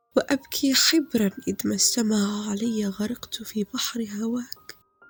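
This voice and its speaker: A man speaks very slowly at a high pitch, with fairly even intonation. Music plays behind him. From Morocco. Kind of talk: poetry reading.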